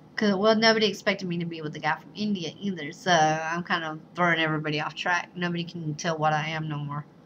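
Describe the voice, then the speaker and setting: Over noticeable background noise, a woman with a fairly low pitch talks at a very fast pace, her intonation fairly even but her loudness swinging widely. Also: hardly any pauses. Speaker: vlogger, bride-to-be. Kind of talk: casual vlog monologue.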